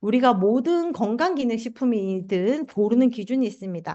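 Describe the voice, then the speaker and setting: A woman with a Gyeongsang accent speaks at a moderate pace in a fairly high pitch with lively intonation. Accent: Gyeongsang (southeastern Korea) intonation. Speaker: health supplement seminar presenter. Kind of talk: sales pitch.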